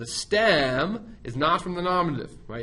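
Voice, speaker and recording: A man is speaking. The room echo is audible. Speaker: Latin teacher. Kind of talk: lecture. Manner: fast; casual.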